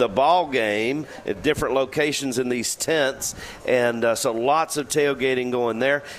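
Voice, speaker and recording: A fairly high-pitched man, his pitch shifting in an ordinary way, talks through noticeable background noise. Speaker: deli representative.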